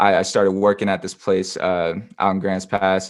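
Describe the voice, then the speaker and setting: Speaking at a fairly slow pace with a West Coast accent, a man with a fairly low pitch is heard against a quiet background. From southern Oregon, US. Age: 20s. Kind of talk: interview testimony. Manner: halting, many fillers and restarts.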